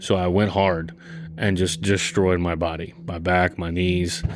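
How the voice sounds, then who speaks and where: Over music in the background, a man with a very deep, low pitch speaks at a fairly slow pace in a monotone, flat intonation. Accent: American. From US South, South Louisiana. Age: 20s. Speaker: army veteran. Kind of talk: casual interview conversation.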